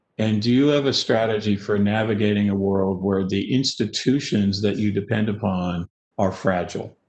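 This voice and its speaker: A man's fairly low voice holds very even loudness and fairly even intonation. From Canada. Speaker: business strategy consultant. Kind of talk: webinar talk. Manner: fast.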